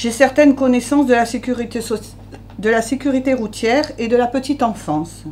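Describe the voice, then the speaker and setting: A woman with a high pitch, ordinary pitch variation and a moderate pace, over noticeable background noise. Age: 50s. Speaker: local election candidate. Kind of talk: press conference statement.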